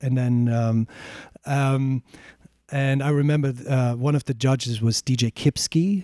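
The voice carries a German accent and a dark, mellow tone. The sound is dry and close, without echo. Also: man. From Germany (born in East Germany, raised in West Germany). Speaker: DJ. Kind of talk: podcast interview. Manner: hesitant, many fillers and restarts.

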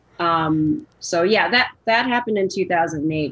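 A woman's fairly low-pitched, plain, everyday voice with lively intonation, in an American accent. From US Midwest, Chicago. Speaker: film editor. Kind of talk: casual interview.

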